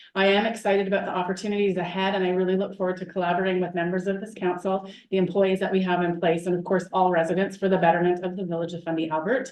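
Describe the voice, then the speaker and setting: Very fast delivery with fairly even intonation. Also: woman. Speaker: municipal chief administrative officer. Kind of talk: council meeting report. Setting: council meeting.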